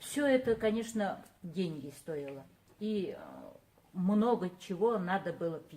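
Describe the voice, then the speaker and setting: A woman's dark, mellow tone at a fairly slow pace. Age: 60s. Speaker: product user giving a testimonial. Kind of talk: testimony. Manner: halting.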